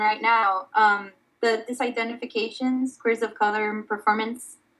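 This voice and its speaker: Using a normal speaking voice, a woman keeps to a moderate pace. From Miami, Florida (born in Dominican Republic). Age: 20s. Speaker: artist. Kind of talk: casual interview.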